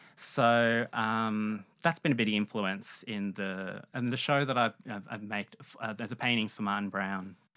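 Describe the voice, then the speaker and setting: Speaking with an Australian accent at a fairly slow pace, a man keeps fairly even intonation on a very clean recording with a silent background. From Melbourne, Australia. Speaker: painter. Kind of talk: interview. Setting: studio.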